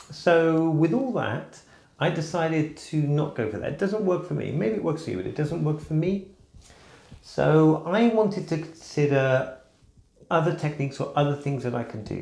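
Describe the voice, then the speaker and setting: A man with a plain, everyday voice talks at a moderate pace, his fairly high pitch showing ordinary pitch variation. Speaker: crossdresser. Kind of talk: casual talk to camera.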